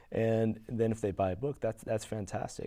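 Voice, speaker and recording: The voice is a man's, pitched in the medium range. Its tone sounds dark and mellow. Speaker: science fiction author. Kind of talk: interview. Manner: fast; halting.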